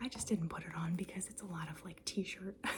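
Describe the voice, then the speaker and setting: A woman is whispering. Her pace is moderate. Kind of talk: ASMR show-and-tell, casual talk to camera. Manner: soft-spoken, chatty.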